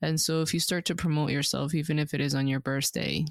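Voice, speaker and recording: Very clean and silent in the background, the recording is dry and close with no echo. A woman with a very deep, low pitch speaks with vocal fry and fairly even intonation. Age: 20s. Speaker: podcast co-host. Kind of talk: casual chat.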